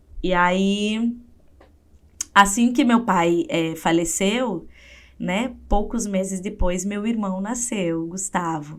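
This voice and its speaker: Speaking at a very slow pace, a woman uses a medium pitch with ordinary pitch variation. She has a strong southern Brazilian accent. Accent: gaúcho Brazilian Portuguese, strong. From southern Brazil, interior of Rio Grande do Sul. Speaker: psychologist and writer. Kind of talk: interview testimony.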